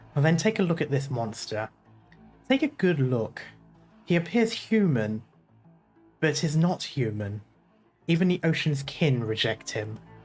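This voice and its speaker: A man puts on a gravelly character voice at a moderate pace. Faint music plays in the background. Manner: dramatic, ominous.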